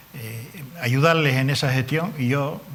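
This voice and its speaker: Audible room echo surrounds the voice. A man speaks very slowly with fairly even intonation. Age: 70s. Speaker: politician. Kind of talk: TV interview. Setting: TV studio.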